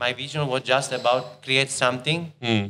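A man speaks with an Italian accent in a bright, sharp tone. His intonation is fairly even over light background noise. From Italy, Rome. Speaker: chef. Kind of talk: casual chat. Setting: restaurant. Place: cafe. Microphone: studio mic.

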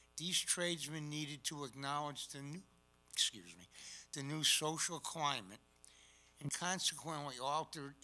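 A man's fairly high-pitched voice in an American accent, with music in the background. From Connecticut, Hartford. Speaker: collector presenting a talk. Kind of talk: presentation. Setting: stage with audience. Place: hall.

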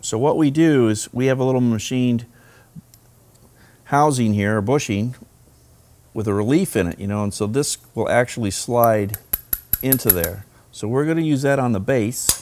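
A man talks at a moderate pace with ordinary pitch variation. He leaves long, frequent pauses. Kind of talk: tutorial. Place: workshop.

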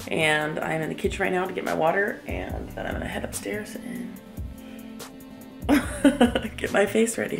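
Clear background music under a woman's voice, moving at a moderate pace. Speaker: small business owner vlogger. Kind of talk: casual vlog chat. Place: kitchen. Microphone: phone near.

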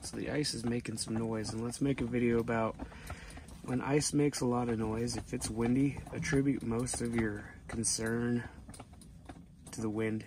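The speech moves at a moderate pace with long, frequent pauses, in a dry sound with no echo and noticeable background noise. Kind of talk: casual vlog chat. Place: tent. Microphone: phone near.

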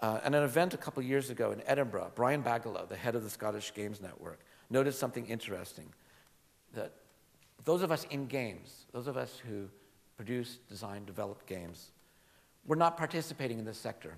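Lively in intonation, a man speaks at a very fast pace with a medium pitch. He leaves long, frequent pauses. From US, California Bay Area; California. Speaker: game education academic; game education lecturer. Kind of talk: conference talk. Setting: stage with audience. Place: hall. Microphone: podium.

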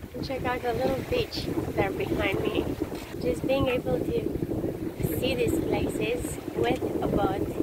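A woman speaks over loud background noise, the sound dry with no echo. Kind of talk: casual vlog chat. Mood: happy, awed. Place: boat. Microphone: phone near.

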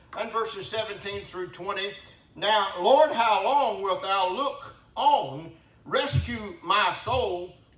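Audible room echo surrounds a man with a high-pitched voice. He speaks at a very slow pace. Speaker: pastor. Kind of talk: sermon. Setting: church. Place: church. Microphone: camera far.

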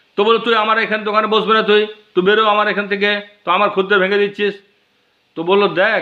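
This man talks with a high pitch. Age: 60s. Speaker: video blogger. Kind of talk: personal storytelling monologue. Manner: halting.

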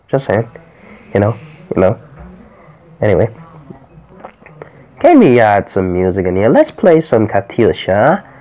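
With noticeable background noise behind him, a man talks at a moderate pace and a medium pitch. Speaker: gamer testing screen recorder. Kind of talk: casual gameplay commentary.

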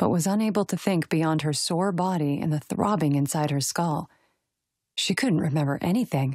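The woman's pitch is very deep and low, with ordinary variation and very even loudness at a moderate pace. The sound is dry and close with no echo, in a very clean recording with a silent background. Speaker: audiobook narrator. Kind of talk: third-person romantic suspense narration.

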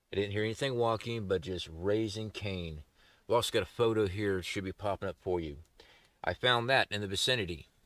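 A man with a fairly low pitch talks at a fairly quick pace in a plain, everyday voice, the sound dry with no echo and the background quiet. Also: ordinary pitch variation. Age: 40s. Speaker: outdoor survival youtuber. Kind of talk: casual vlog talk to camera. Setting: outdoors in the woods. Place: forest.

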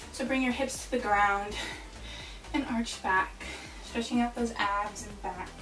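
A woman talks at a fairly slow pace with fairly even intonation. Clear music plays behind her, and room echo can be heard. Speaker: fitness instructor. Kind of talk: workout instruction. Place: home room. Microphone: camera far.

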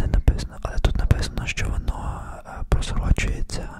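Soft-spoken and whispering, a man talks over loud background noise. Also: dry sound with no echo. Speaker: perfume reviewer. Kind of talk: soft casual review talk, ASMR-like. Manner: close soft ASMR whisper. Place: home room. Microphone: studio mic.

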